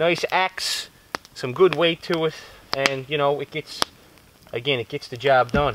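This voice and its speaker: A man speaks fairly slowly in a Newfoundland accent. The sound is dry with no echo, but background noise is noticeable. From Newfoundland, Canada. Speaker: bushcraft YouTuber. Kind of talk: casual vlog talk to camera. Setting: outdoors in the woods. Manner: relaxed, conversational. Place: forest.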